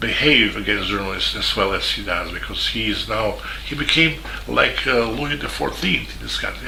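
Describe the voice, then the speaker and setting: A man speaks at a fairly quick pace. Noticeable background noise and audible room echo surround his voice. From Serbia, Belgrade. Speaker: journalist. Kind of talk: video statement. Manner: halting.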